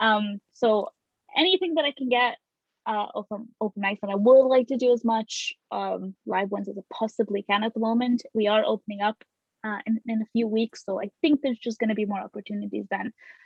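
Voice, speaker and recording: A somewhat breathy woman at a fairly high pitch and a fairly quick pace. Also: ordinary pitch variation. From Lithuania. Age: 20s. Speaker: new comedian. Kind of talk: casual chat. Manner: halting.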